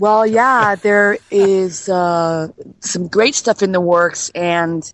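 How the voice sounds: A woman's medium-pitched voice at a slow pace with fairly even intonation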